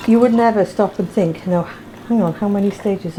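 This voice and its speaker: A woman speaks at a medium pitch and a fairly quick pace, with fairly even intonation. Music plays in the background. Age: 60s. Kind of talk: interview testimony.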